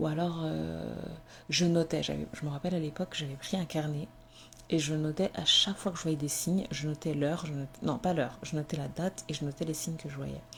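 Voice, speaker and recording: A woman with a very deep, low pitch talks at a fairly quick pace, her voice somewhat breathy and her intonation fairly even. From Comorian heritage, French-speaking. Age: 20s. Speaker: podcaster. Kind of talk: personal testimony. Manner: hesitant, many fillers.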